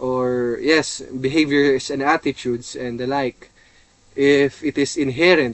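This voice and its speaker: This man has a Filipino accent, a fairly high pitch, and a monotone, flat intonation at a fairly slow pace. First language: Tagalog. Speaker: seminarian. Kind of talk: lecture. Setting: in a seminary vehicle. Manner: hesitant, many fillers.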